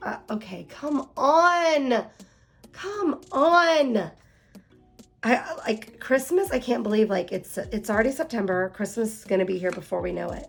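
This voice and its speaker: An animated tone with very wide pitch swings and music in the background. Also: woman, fairly high pitch for a woman, fairly slow pace. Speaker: planner youtuber. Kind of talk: unboxing video.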